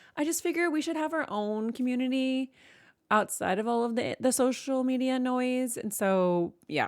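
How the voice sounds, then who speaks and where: An animated woman's voice with very wide pitch swings, on a very clean recording with a silent background. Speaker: book youtuber and streamer. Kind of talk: casual chat.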